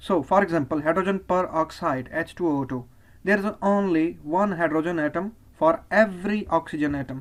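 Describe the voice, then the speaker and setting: The speaker has a Pakistani accent and keeps a moderate pace. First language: Urdu. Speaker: chemistry teacher. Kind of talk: lecture.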